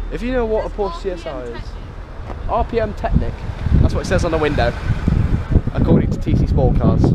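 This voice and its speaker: A man talks at a moderate pace. The sound is dry with no echo, with loud background noise. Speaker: car spotter vlogger. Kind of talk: casual vlog chat. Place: street. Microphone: phone near.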